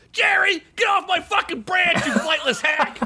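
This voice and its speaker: A shouted put-on character voice at an extremely high pitch and a moderate pace. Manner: abusive, shouting.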